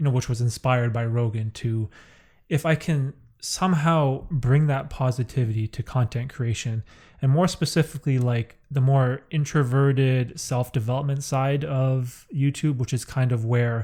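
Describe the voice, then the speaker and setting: Dark and mellow, a man's medium-pitched voice sounds somewhat breathy at a moderate pace. The recording is very clean, with a silent background. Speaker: podcast host. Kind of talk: casual chat. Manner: monotone; laid back.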